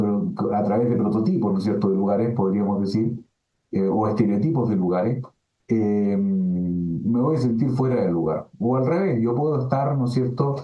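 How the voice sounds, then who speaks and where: A man with a Chilean accent, medium pitch, ordinary pitch variation, a moderate pace and very even loudness. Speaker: philosophy professor. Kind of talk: webinar lecture answering questions. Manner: filler-heavy, hesitant (eh, ¿no es cierto?).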